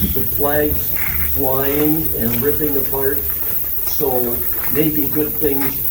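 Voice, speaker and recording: Speaking at a very slow pace with long, frequent pauses, a man at medium pitch holds a monotone, flat intonation amid noticeable background noise and audible room echo. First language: French. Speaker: legion branch leader. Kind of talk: ceremony speech. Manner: halting.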